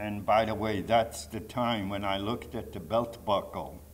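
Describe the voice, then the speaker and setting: The speaker talks at a fairly slow pace with vocal fry. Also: man. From Poland, Warsaw. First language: Polish. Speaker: Holocaust survivor speaker. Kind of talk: testimony.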